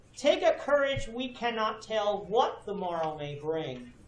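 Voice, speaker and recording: A man speaks at a very slow pace with very wide pitch swings. There is audible room echo. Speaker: preacher. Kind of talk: sermon. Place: church.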